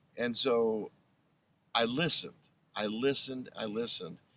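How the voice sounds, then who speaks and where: A man with an American accent speaks very slowly at a medium pitch, with ordinary pitch variation. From Long Island, New York. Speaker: former radio presenter. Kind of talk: interview. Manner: halting.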